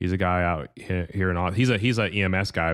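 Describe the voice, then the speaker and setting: At a moderate pace, a man with a very deep, low voice speaks with ordinary pitch variation. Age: 30s. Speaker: gun ownership advocate. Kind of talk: casual chat.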